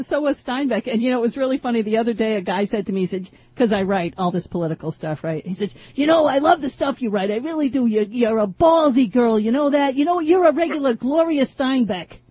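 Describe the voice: Speaking fast with few pauses, a woman uses a fairly high pitch, lively intonation and a slightly husky edge.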